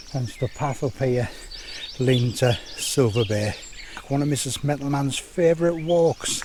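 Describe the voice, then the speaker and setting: Noticeable background noise sits behind the speech. The speaker keeps a moderate pace and fairly even intonation. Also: man. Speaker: hiking vlogger. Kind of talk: casual vlog narration. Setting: outdoors on a fell walk.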